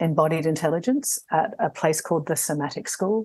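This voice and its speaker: A woman with an Australian accent speaks at a fairly low pitch, using ordinary pitch variation. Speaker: somatic coach and trainer. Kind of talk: panel discussion.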